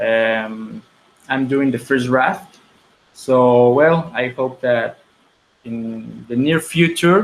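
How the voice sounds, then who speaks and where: Very slowly and with long, frequent pauses, a man speaks in a Spanish accent at medium pitch with ordinary pitch variation. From Mexico. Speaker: filmmaker. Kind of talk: interview. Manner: halting, many repetitions and fillers.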